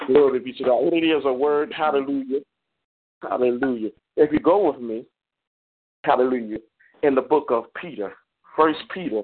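With an animated tone and big swings in loudness, a man at a fairly high pitch speaks at a moderate pace, using ordinary pitch variation and long, frequent pauses. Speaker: preacher. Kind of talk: sermon. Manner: animated, fervent.

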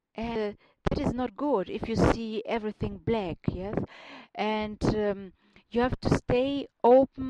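A woman with a German accent talks at a fairly slow pace in a dark, mellow tone with ordinary pitch variation, the sound dry and close with no echo. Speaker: radio host and life coach. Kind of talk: radio show monologue. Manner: halting, with fillers and restarts.

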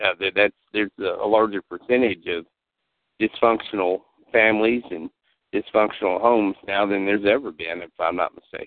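Speaking with an American accent, a man uses a plain, everyday voice at a fairly low pitch, a moderate pace and fairly even intonation. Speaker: talk show host. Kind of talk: call-in talk show conversation. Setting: phone call.

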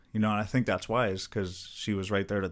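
A man's fairly low voice with an American accent at a fairly quick pace, on a very clean recording with a silent background. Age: 20s. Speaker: MMA fighter. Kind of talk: casual chat. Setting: studio. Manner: animated.

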